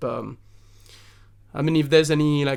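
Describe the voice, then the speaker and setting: This man has a French accent. He speaks at a fairly quick pace. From southern France. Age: 30s. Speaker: singer-songwriter. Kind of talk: podcast interview. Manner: halting, many fillers and restarts.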